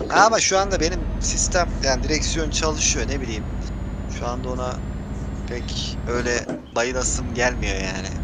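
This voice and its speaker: Loud background noise surrounds a man talking at a fairly slow pace. The sound is dry with no echo. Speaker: gaming streamer. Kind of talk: gameplay voice chat with viewers. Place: home room.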